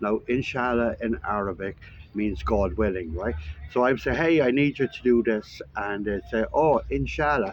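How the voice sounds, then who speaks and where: A man with an Irish accent, medium pitch, lively intonation and a moderate pace. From Ireland. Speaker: vlogger. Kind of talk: casual vlog monologue. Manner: casual, with frequent fillers.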